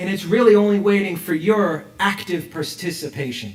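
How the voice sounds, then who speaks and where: A man with an American accent speaks at a moderate pace and high pitch, with audible room echo and noticeable background noise. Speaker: rabbi. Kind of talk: sermon. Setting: synagogue with congregation, also streamed online. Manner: animated, rhetorical questions.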